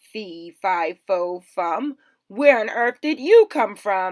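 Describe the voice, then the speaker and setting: At a very slow pace, a woman talks in a put-on character voice. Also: medium pitch for a woman, very clean recording, silent background. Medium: read story.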